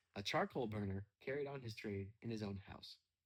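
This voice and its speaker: Somewhat breathy, a man with a medium pitch speaks with lively intonation. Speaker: storyteller. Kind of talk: casual chat; reading aloud. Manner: quiet; relaxed.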